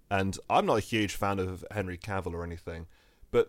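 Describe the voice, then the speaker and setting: At a moderate pace, a man with a fairly low pitch speaks in a normal speaking voice on a very clean recording with a silent background. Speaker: comedian. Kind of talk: casual chat.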